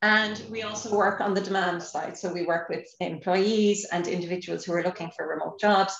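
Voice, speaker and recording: A woman talks at a moderate pace in an Irish accent, her pitch medium. Her intonation is fairly even, with noticeable background noise behind her. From Ireland. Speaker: nonprofit employer lead, former tech manager. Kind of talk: podcast interview. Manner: hesitant, many fillers.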